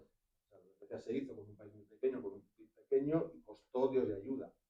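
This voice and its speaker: Moving at a moderate pace, a man talks in an ordinary speaking voice with fairly even intonation. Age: 50s. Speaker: audience member. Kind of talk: public Q&A at talk. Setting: live event in a venue.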